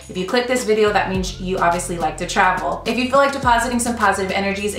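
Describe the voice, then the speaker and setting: Faint music plays in the background and room echo is audible as a woman speaks at a very fast pace with hardly any pauses and ordinary pitch variation. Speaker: lifestyle vlogger. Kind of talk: casual vlog chat. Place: home room.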